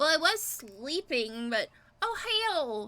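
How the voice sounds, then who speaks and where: A woman's put-on character voice, high-pitched with very wide pitch swings, at a fairly slow pace. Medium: actual play. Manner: casual, laid-back.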